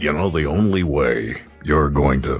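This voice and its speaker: A man's put-on character voice, very deep and low in pitch with ordinary pitch variation, with faint music in the background. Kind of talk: serious, advice-giving.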